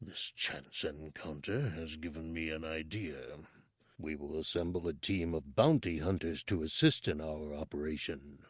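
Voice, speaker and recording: Putting on a character voice, a man speaks in a very deep, low pitch with fairly even intonation at a moderate pace. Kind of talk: audiobook villain voice. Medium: read story. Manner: cold, commanding, menacing.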